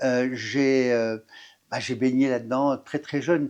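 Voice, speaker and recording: A man at a moderate pace over a quiet background. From northern France, Pas-de-Calais. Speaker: firefighter officer. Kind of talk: interview. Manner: halting, many fillers and restarts.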